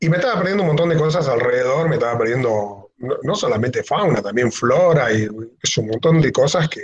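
A man's somewhat breathy voice moves along at a moderate pace. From Argentina, Misiones (El Dorado); Misiones, Argentina. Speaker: wildlife photographer; guest. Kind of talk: online talk with slideshow. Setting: video call. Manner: halting. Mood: relaxed, friendly. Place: home room. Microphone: video call.

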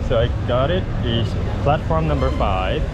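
A man at a fairly slow pace, amid loud background noise. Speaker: travel vlogger. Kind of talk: casual vlog chat. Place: station. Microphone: phone near.

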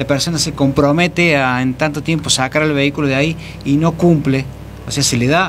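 Over light background noise, a man talks at a fairly quick pace with monotone, flat intonation. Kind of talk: interview answer. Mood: defensive, explaining procedure. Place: studio. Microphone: studio mic.

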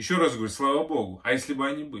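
Against a quiet background, a man speaks in a bright, sharp tone. His pitch swings very widely at a moderate pace. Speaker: video blogger. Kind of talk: opinion commentary to camera. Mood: indignant, earnest. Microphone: phone near.

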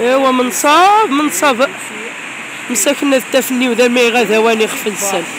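With lively intonation and a high pitch, a woman speaks in a dry sound with no echo, against noticeable background noise. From Morocco. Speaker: YouTuber. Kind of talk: casual vlog. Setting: outdoors. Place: street. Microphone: phone near.

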